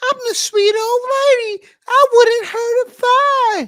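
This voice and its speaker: Using a put-on character voice, a female-sounding speaker talks at a fairly slow pace in an extremely high pitch. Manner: sweet, innocent.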